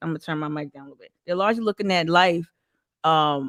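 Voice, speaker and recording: A woman with a Northeastern US accent, animated tone and lively intonation, in a very clean recording with a silent background and dry, close sound with no echo. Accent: Northeast US. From northern New Jersey. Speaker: community activist. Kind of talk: interview conversation.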